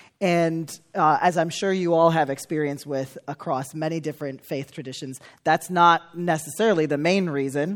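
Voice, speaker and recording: A man with an American accent speaks at a fairly high pitch. His pace is moderate and his intonation fairly even. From US Midwest, Chicago suburbs. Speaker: church leader. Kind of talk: testimony.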